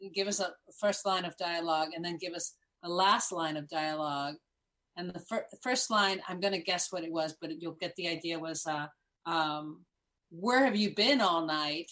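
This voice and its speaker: An ordinary speaking voice, this woman's comes with an American accent, a moderate pace and ordinary pitch variation. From Miami, Florida, Cuban American. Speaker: improv comedian. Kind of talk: casual chat.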